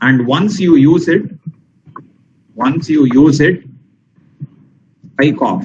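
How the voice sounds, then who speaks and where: Somewhat breathy and fairly high in pitch, a man speaks at a very slow pace with long, frequent pauses and ordinary pitch variation. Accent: Tamil. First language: Tamil. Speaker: teacher. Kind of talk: lecture. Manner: slow, deliberate; emphatic, repetitive.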